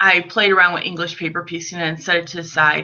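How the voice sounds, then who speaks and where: A woman with a Chicago accent. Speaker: quilter and quilt designer. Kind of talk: casual interview.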